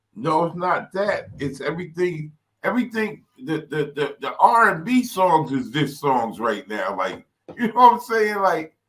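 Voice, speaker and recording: A man with a New York accent talks at a fairly slow pace in a high pitch that swings very widely. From New York City, Brooklyn. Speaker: rap artist and engineer. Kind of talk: casual chat.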